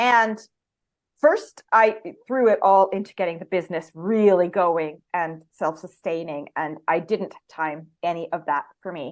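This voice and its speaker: Speaking fairly slowly with a Canadian accent, a woman has an ordinary speaking voice, a fairly low pitch and ordinary pitch variation. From Canada. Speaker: photographer. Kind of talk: interview answer. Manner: casual, conversational.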